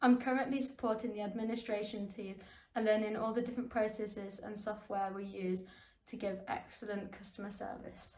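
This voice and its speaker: A woman talks fairly quickly at a fairly high pitch, her intonation monotone and flat. Her loudness swings widely, and room echo is audible. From West Midlands, England (Solihull). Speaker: graduate trainee. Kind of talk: recorded self-introduction.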